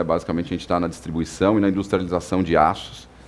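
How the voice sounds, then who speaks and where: A man with a São Paulo accent talks at a very fast pace. His voice is very deep and low, with fairly even intonation. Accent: São Paulo Brazilian Portuguese. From São Paulo, Brazil. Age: 40s. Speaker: company executive. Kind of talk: podcast interview. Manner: hesitant, many filler words.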